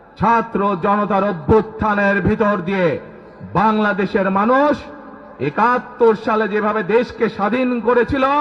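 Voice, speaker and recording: Pitched high for a man, this male voice keeps a fairly even intonation over noticeable background noise. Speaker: politician. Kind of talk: political rally speech. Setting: outdoors.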